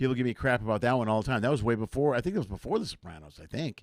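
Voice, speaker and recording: A man with an American accent at medium pitch, with ordinary pitch variation, on a very clean recording with a silent background. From Chicago area, US Midwest. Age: 50s. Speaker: comedian and talk show host. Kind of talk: casual interview chat.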